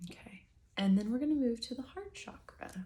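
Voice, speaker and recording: The voice is soft-spoken and somewhat breathy, with a dark, mellow tone. It has a calm tone and ordinary pitch variation. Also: woman. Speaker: breathwork and meditation guide. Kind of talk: guided breathwork session, soft-spoken ASMR. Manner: soft-spoken, calm, instructive.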